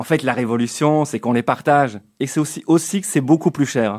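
The sound is dry and close with no echo. Delivery is at a moderate pace. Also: man. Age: 40s. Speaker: radio columnist. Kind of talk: comic radio column.

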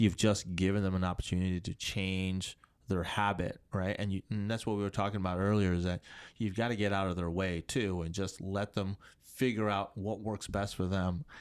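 The pace of this male speaker is moderate. His voice sits fairly low. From Tanzania, moved to the US as a child. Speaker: physical therapist. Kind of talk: casual interview. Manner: hesitant, many fillers.

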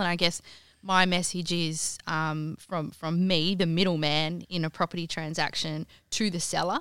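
In a very clean recording with a silent background, a woman with an Australian accent speaks at a moderate pace in a fairly low pitch, her tone bright and sharp and her intonation fairly even. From Western Australia goldfields, Kalgoorlie. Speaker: home stylist and business founder. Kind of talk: interview.

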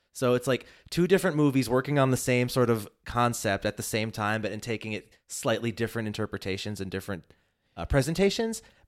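Talking very fast with lively intonation, a man speaks at a medium pitch. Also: very clean recording, silent background. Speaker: podcast guest. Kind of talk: casual chat.

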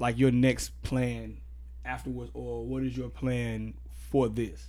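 A man speaks very slowly in an American accent. His loudness swings widely, and room echo is audible. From Austin, Texas. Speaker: podcast host. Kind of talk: news commentary monologue; casual interview chat. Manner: casual, filler-heavy.

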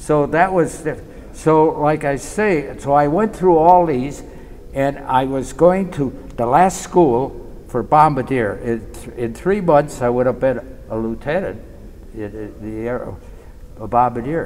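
Over noticeable background noise, a man with a fairly high voice talks at a fairly slow pace. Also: lively intonation. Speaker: war veteran. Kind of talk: interview reminiscence.

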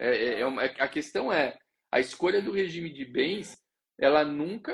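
A man with a fairly high pitch, an ordinary speaking voice and a moderate pace. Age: 20s. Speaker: notary law educator and live show host. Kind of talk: live social media talk show.

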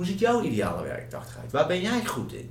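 A man speaks at a moderate pace with very wide pitch swings. Noticeable background noise and audible room echo fill the recording. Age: 30s. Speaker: learning and development consultant. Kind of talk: casual chat.

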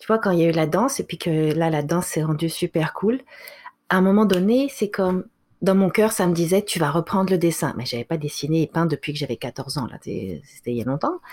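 In a normal speaking voice, a woman talks at a fairly quick pace with a fairly low pitch, lively intonation and big swings in loudness, on a very clean recording with a silent background. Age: 40s. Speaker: author and speaker. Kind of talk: interview.

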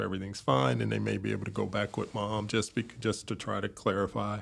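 A man's American-accented voice with vocal fry at a moderate pace, on a very clean recording with a silent background. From Chicago, South Side. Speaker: neonatologist. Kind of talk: interview.

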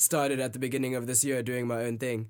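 The recording is very clean, with a silent background. A man speaks in a flat monotone. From South Africa. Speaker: coding student. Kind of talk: interview.

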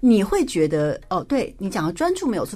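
The pitch of this woman's voice swings very widely. Her pace stays moderate. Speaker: former taekwondo athlete and entrepreneur. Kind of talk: radio interview. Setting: radio studio.

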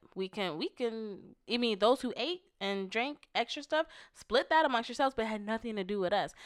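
Recorded very cleanly with a silent background and a dry, close sound with no echo, a woman uses an ordinary speaking voice, talking fairly quickly at a fairly high pitch with lively intonation. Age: 30s. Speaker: podcast co-host, married couple. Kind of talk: casual chat.

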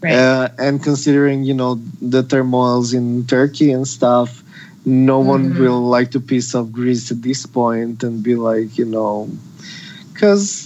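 At a fairly slow pace, a man with a Serbian accent speaks at medium pitch with fairly even intonation, and noticeable background noise is present. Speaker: activist. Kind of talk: casual chat.

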